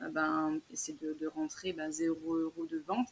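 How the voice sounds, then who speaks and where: A woman's unremarkable speaking voice, fairly low in pitch, with lively intonation. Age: 30s. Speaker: small business owner, clothing maker. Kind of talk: interview.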